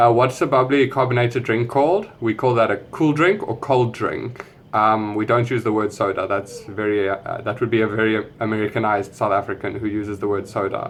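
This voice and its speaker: Noticeable background noise behind a man of medium pitch, fairly even intonation, a fairly quick pace and hardly any pauses. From South Africa. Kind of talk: casual talk to camera.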